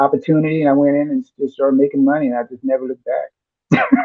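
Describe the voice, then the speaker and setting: With an American accent, a man talks in a relaxed tone, a fairly high pitch and lively intonation. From Southern California (Compton, Los Angeles). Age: 60s. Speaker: airbrush artist. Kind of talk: casual interview chat. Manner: relaxed, halting with fillers.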